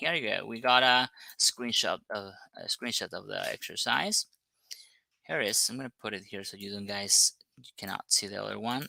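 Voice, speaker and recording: With a non-native accent, a man speaks at a moderate pace in a dry, close sound with no echo. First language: not English. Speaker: English teacher. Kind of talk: online lesson. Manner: hesitant, many fillers.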